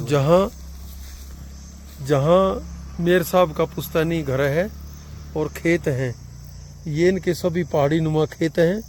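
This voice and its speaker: Pausing long and often, a man talks in a fairly high pitch with fairly even intonation. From Haryana, India. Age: 50s. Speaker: teacher. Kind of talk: travel vlog narration.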